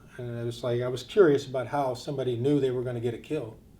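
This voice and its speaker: A man with a medium pitch speaks in a dark, mellow tone at a fairly quick pace. His intonation is monotone and flat, and room echo can be heard. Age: 60s. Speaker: war veteran. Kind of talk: testimony. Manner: halting.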